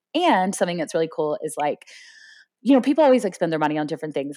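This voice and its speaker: The recording is very clean, with a silent background. A woman with an American accent speaks at a fairly low pitch. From Florida, US. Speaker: professional poker player. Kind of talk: interview. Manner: fast; loud.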